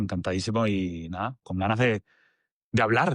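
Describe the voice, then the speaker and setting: At a moderate pace, a man speaks over a quiet background, the sound dry and close with no echo. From Venezuela. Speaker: agency director. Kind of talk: podcast interview.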